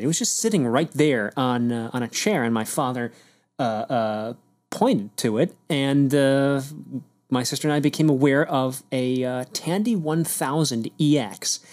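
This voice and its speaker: On a very clean recording with a silent background, a man with an ordinary speaking voice talks at a moderate pace, his fairly high pitch showing ordinary variation. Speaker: podcast host. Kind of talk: casual chat. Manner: rambling, filler-heavy.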